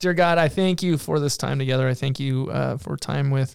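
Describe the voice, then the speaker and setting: This man uses a normal speaking voice and talks at a moderate pace. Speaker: co-host. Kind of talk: casual chat.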